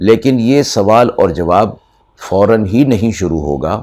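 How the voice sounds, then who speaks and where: A man with a dark, mellow tone speaks with ordinary pitch variation. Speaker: Islamic scholar giving Quran lecture. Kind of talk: Quran exegesis lecture (tafseer) to an audience.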